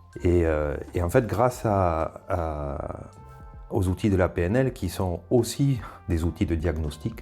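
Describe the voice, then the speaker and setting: A man talks very slowly in a very deep, low voice with lively intonation. Music plays in the background. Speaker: former vocational teacher, trainer and school coach. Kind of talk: interview answer.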